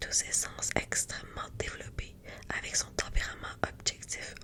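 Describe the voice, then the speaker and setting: A woman whispers at a very slow pace. Noticeable background noise is present. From Quebec. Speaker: ASMR content creator. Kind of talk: ASMR soft-spoken astrology explanation. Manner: soft-spoken, friendly.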